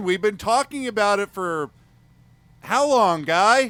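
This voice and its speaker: Someone shouts loudly at a fairly slow pace with lively intonation on a very clean recording with a silent background. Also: man. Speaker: podcast co-host. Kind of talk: comedic casual chat. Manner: loud, shouting.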